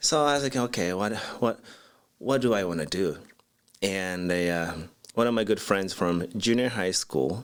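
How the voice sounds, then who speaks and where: A man with a Japanese accent speaks at a moderate pace with lively intonation. He leaves long, frequent pauses, and the recording is very clean with a silent background. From Japan, Osaka. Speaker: architect, design firm CEO. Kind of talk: interview.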